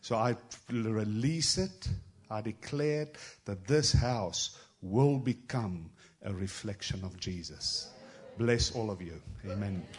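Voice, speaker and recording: A man speaks at a very slow pace with a fairly low, somewhat breathy voice. His intonation is lively, broken by long, frequent pauses. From South Africa. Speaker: travelling prophetic minister. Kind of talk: prophetic word in a church service. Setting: church with congregation.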